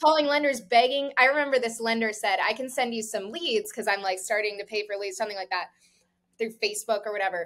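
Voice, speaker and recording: The speech races along at a very fast pace in a South Florida accent. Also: woman. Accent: American, South Florida. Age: 20s. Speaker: real estate broker. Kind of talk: casual interview chat. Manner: fast, casual with many fillers.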